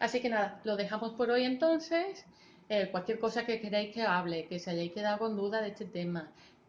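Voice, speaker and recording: A woman speaks at a moderate pace, somewhat breathy, with ordinary pitch variation. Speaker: vlogger. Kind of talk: personal vlog talking to camera.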